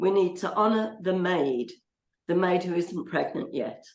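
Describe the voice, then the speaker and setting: The speaker has a Birmingham accent and ordinary pitch variation. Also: woman. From Birmingham, England (born Dublin). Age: 70s. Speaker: midwife. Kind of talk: casual video chat interview. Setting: video call.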